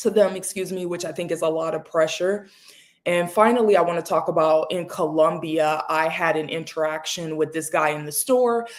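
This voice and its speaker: Here is an unremarkable speaking voice from a woman with an American accent, pitched fairly low. Her pace is fairly quick and her intonation fairly even. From United States. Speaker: panel guest. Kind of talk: panel discussion.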